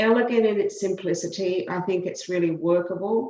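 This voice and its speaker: A woman of medium pitch talks at a moderate pace, with audible room echo. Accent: Australian. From Australia. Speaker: law professor. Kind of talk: committee testimony.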